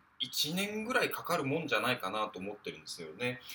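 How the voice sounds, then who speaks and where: Over music in the background, a man with a fairly high pitch speaks with very wide pitch swings. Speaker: podcaster. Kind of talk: solo monologue. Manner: hesitant, many fillers.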